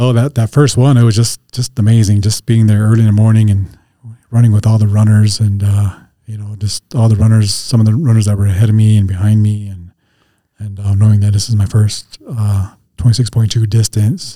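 With an American accent, a man of fairly low pitch speaks at a fairly quick pace in a dark, mellow, somewhat breathy tone and a monotone, flat intonation. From Montana (Northern Cheyenne reservation area). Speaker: recovery coach. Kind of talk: interview. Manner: halting.

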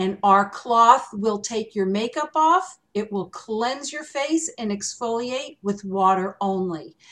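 The pace is very slow and the intonation lively. The background is quiet. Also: woman, fairly high pitch for a woman. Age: 60s. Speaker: skincare expert. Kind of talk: panel discussion. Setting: video call.

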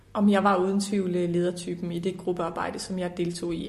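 Audible room echo surrounds a woman who speaks at a moderate speed. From Denmark, Horsens (East Jutland). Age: 20s. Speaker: politician. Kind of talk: interview. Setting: parliament building office.

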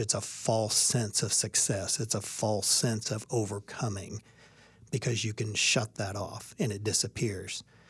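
A man talks fairly slowly in a fairly low, somewhat breathy voice with fairly even intonation. The recording is very clean, with a silent background. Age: 50s. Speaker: baseball coach. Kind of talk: interview.

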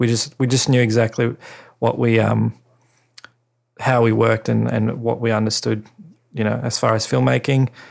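Heard in a very clean recording with a silent background, a man with an Australian accent speaks at a moderate pace. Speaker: podcast host and cinematographer. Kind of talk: casual monologue. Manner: hesitant, many fillers.

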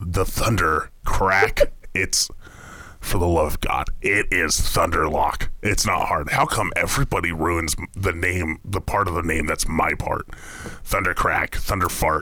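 A man performs a put-on character voice. He goes at a fairly slow pace. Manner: irritable, cursing, fussy.

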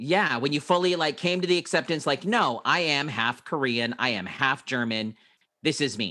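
A man speaks at a moderate pace with a fairly high pitch and lively intonation. His tone is bright and sharp, on a very clean recording with a silent background. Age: 40s. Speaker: podcast host. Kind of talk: casual interview.

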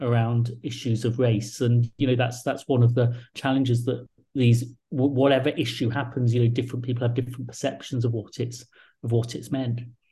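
A somewhat breathy man at medium pitch with a dark, mellow tone and a fairly quick pace. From England. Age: 40s. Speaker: think tank director and author. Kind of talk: interview.

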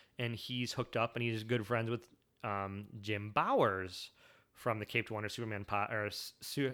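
Heard on a very clean recording with a silent background, the speaker has a Michigan accent and a bright, sharp tone. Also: man. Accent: US Midwest (Michigan). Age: 30s. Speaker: podcast host. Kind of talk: solo podcast monologue. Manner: animated, with frequent fillers and restarts.

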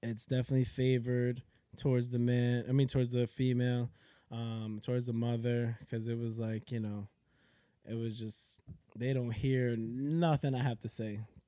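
With a New York accent, a man speaks at a moderate pace in a medium pitch, his tone dark and mellow and his intonation monotone and flat. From New York (Yonkers). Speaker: triathlete and Navy veteran. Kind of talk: casual chat.

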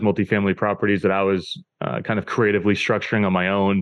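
A man with an American accent, an unremarkable speaking voice, a fairly low pitch and a fairly quick pace. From New Hampshire, US. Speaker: real estate investor, podcast host. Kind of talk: interview conversation.

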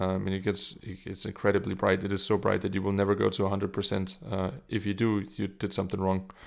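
Speaking in a German accent, a man goes at a very fast pace. His fairly low voice stays monotone and flat. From Germany. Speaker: camera assistant. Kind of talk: casual interview. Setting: video call.

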